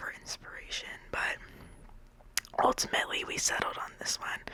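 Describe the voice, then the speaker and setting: Whispering at a fairly slow pace comes through noticeable background noise. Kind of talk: casual voice-over ramble about a game build. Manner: whispered, rambling.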